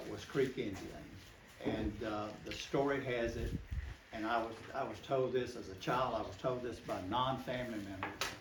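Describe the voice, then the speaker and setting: A man's voice in an American accent, with audible room echo and noticeable background noise. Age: 70s. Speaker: local storyteller. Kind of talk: oral history talk to a group.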